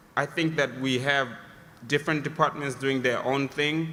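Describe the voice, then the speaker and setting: With a non-native accent, a man speaks in a fairly high voice with monotone, flat intonation against noticeable background noise. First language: not English. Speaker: audience member asking a question. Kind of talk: audience question. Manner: halting, many fillers.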